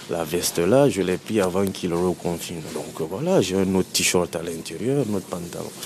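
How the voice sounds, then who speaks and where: There is noticeable background noise as a man speaks at a very deep, low pitch. His pace is moderate, with hardly any pauses. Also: ordinary pitch variation. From Guinea, Conakry. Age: 30s. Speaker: person experiencing homelessness. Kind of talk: personal testimony interview. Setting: public bath-house washroom.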